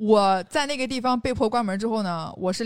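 A woman with a normal speaking voice talks at a fairly quick pace with ordinary pitch variation on a very clean recording with a silent background. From Xinjiang, China. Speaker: outdoor industry worker and podcaster. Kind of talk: casual chat.

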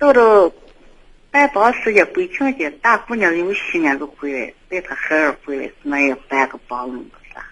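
Her loudness rising and falling sharply, a woman speaks at a moderate pace and medium pitch with very wide pitch swings. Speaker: radio call-in listener. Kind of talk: casual chat.

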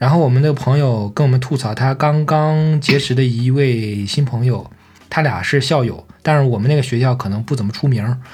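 This man talks at a moderate pace with a medium pitch, ordinary pitch variation and a somewhat breathy quality. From Shandong, China. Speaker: podcast co-host. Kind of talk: casual chat.

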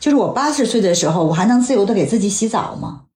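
Over audible room echo, a woman with a medium pitch talks at a very fast pace, her pitch swinging very widely. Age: 40s. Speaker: health magazine journalist. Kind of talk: casual chat. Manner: reflective.

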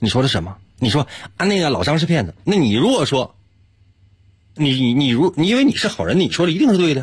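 A man speaks very fast at a fairly high pitch, with vocal fry. His pitch swings very widely. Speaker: radio host running a puzzle segment. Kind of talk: casual chat with listeners, explaining logic puzzles. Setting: live-streamed broadcast.

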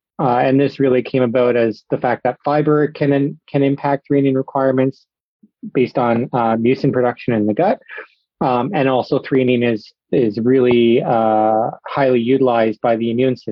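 Here a man talks at a moderate pace and medium pitch, keeping his intonation fairly even. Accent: Canadian. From Ontario, Canada. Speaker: swine nutrition research scientist. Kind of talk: interview. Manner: halting, many fillers.

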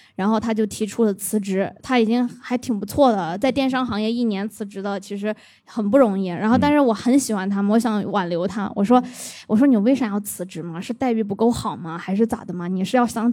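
A woman speaks at a fairly quick pace with hardly any pauses, in a fairly high pitch with ordinary pitch variation. Her tone is dark and mellow. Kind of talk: casual chat.

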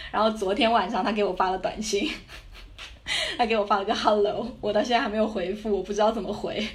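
Fairly high in pitch, a woman talks at a very fast pace with fairly even intonation. Audible room echo and noticeable background noise surround her voice. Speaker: backpacker and student abroad. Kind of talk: casual interview chat.

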